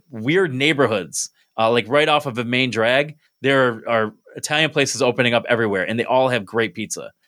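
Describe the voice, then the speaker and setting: A man talks in an unremarkable speaking voice at medium pitch. His pitch variation is ordinary and his pace moderate. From upstate New York (Binghamton). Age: 30s. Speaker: podcast host and stand-up comedian. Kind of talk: casual chat. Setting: video call.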